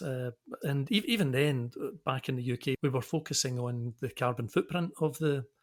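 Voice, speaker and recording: Somewhat breathy, a man with a Scottish accent speaks at a moderate pace in a very clean recording with a silent background. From Scotland, Glasgow. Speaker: engineering consultancy director. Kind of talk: podcast interview. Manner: halting.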